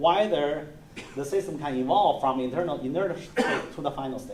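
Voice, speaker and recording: Lively intonation from a man at a moderate pace, with audible room echo and noticeable background noise. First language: not English. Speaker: university lecturer. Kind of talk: lecture. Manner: halting.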